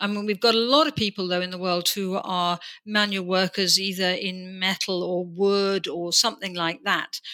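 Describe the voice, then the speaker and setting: A plain, everyday voice speaks at a moderate pace with hardly any pauses. Its intonation is fairly even. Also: woman, medium pitch for a woman. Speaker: podcast host. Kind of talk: interview, conversational.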